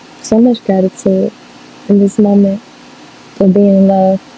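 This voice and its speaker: With an American accent, a woman at medium pitch talks at a fairly slow pace over noticeable background noise. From US South, Louisiana (Monroe). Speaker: tarot reader, spiritual channeler. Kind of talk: casual spiritual reading monologue. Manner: casual, halting with filler words.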